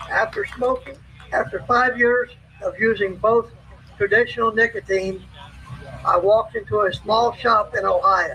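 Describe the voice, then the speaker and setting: Noticeable background noise is present. The man's pace is moderate. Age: 60s. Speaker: army veteran and former truck driver speaking at a rally. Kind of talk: prepared rally speech.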